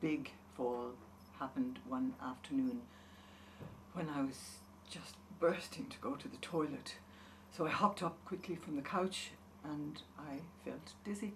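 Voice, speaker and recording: Woman with an Irish accent, fairly low pitch, very wide pitch swings and big swings in loudness, fairly slow pace with long, frequent pauses, audible room echo and noticeable background noise. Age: 70s. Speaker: patient. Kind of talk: testimony.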